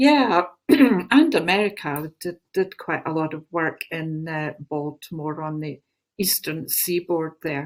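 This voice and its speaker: A woman with a Glaswegian accent, at a fairly slow pace. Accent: Glaswegian Scottish. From Scotland, Glasgow. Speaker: spiritual teacher and channeler. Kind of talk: interview talk.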